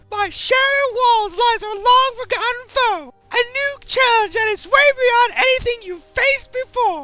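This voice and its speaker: In a put-on character voice, a female-sounding speaker talks at a moderate pace with hardly any pauses and an extremely high pitch. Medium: machinima. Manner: teasing, sultry.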